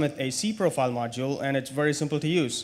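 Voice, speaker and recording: A man with a non-native accent speaks at a fairly high pitch. His pace is fairly quick, with ordinary pitch variation. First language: not English. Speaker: conference speaker. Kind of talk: technical conference talk. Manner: hesitant, many fillers and repetitions.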